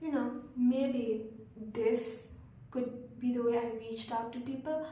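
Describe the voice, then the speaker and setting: Soft-spoken and high-pitched, a woman talks at a fairly slow pace with long, frequent pauses and monotone, flat intonation, over noticeable background noise and audible room echo. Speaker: vlogger. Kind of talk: casual monologue. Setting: hostel room. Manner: hesitant.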